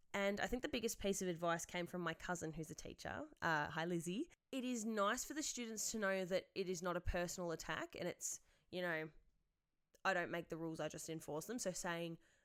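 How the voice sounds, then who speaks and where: With an Australian accent, a woman speaks fairly quickly at a fairly low pitch with ordinary pitch variation, and the recording is very clean with a silent background. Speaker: secondary school teacher, podcast host. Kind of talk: podcast monologue answering listener questions. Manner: loud.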